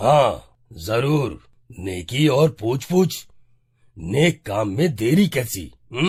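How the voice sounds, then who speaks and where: Using a cartoonish character voice, a man speaks raspily at medium pitch and a very slow pace, with very wide pitch swings and long, frequent pauses, on a very clean recording with a silent background. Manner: authoritative, folksy.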